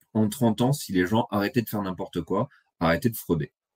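The speech moves at a fairly quick pace with ordinary pitch variation, in a dry, close sound with no echo. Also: man. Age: 30s. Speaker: economics blogger. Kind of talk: presentation.

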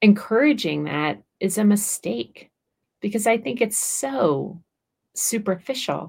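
A voice with vocal fry moves at a very slow pace through very wide pitch swings. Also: woman, medium pitch for a woman. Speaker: author and podcast host. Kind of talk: casual chat.

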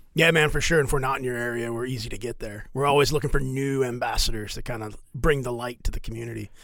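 With hardly any pauses, a man races along at a very fast pace, his medium-pitched voice keeping a fairly even intonation in audible room echo. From Louisiana, Lake Charles. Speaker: military officer and nonprofit president. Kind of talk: casual chat.

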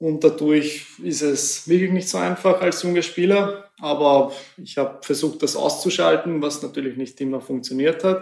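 A man at a fairly high pitch and moderate pace, with ordinary pitch variation. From Hungary, Sopron. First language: Hungarian (speaking German). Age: 20s. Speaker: former footballer, youth team manager. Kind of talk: interview. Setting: training centre office.

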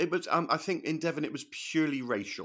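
This is a man talking with a British accent. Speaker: comedian. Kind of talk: casual banter interview.

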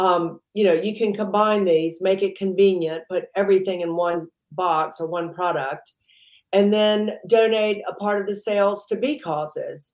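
A woman with an American accent talks at a moderate pace in a medium pitch, her intonation fairly even, in an unremarkable speaking voice. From US South, Mississippi. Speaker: entrepreneur. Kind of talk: interview.

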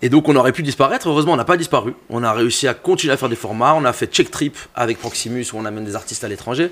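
A man's medium-pitched voice at a very fast pace, with ordinary pitch variation and hardly any pauses. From Belgium, Brussels. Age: 30s. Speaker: music journalist and DJ. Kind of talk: casual chat. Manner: animated.

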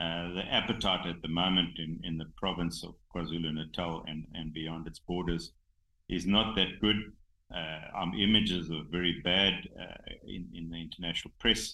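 Speaking with a South African accent at a moderate pace, the voice keeps a fairly even intonation but shows big swings in loudness. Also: man, very deep, low pitch for a man. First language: Xhosa. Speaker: rhino conservationist, game reserve owner. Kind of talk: casual interview. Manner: halting, many fillers.

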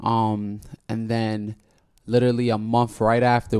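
A man speaks with an American accent. His pitch is fairly low and his pace moderate. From New York City, Washington Heights. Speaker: musician. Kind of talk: casual interview. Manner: animated.

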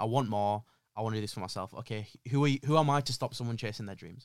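In a Yorkshire accent, the speaker talks at a very fast pace with ordinary pitch variation and big swings in loudness. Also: man. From northern England, Yorkshire (Leeds area). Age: 20s. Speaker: social media marketing agency owner. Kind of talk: casual interview chat.

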